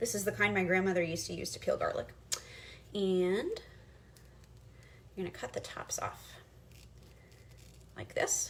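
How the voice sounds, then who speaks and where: Over noticeable background noise, a woman speaks with long, frequent pauses. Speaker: history teacher hosting a cooking show. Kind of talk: cooking tutorial with history lesson. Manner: fast; hesitant, many fillers.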